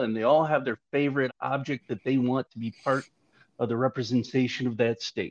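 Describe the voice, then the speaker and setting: A man with an American accent and a normal speaking voice, medium pitch, ordinary pitch variation and a fairly quick pace. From Michigan. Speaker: sculptor. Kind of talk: casual chat.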